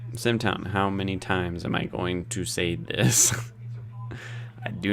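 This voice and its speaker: Over noticeable background noise and audible room echo, a man with a fairly low pitch talks at a fairly slow pace with fairly even intonation. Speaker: live streamer. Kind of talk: casual livestream chat. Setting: online livestream.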